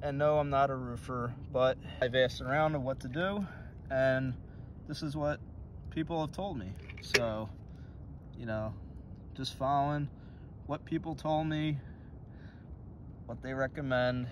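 A man talks at a fairly slow pace with long, frequent pauses and ordinary pitch variation, the sound dry with no echo and light background noise. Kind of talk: tutorial. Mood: casual, encouraging. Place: open country. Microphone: phone near.

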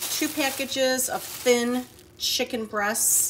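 There is noticeable background noise in this clip. A woman speaks with an American accent. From Michigan, US. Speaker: vlogger. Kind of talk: casual vlog chat. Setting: home, outdoors on porch.

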